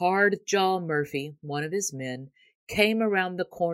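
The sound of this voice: The delivery is an unforced reading voice, showing ordinary pitch variation. All around it, the background stays quiet.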